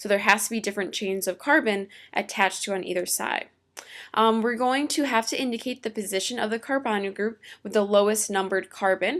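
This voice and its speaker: In a very clean recording with a silent background, a woman with an ordinary speaking voice talks at a fairly quick pace in a fairly high pitch with ordinary pitch variation. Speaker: teacher. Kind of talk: lecture.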